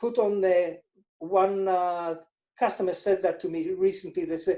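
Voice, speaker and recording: A man with an Israeli accent talks in a high pitch, his dark, mellow tone held in a monotone, flat intonation. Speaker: financial advisor. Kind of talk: interview.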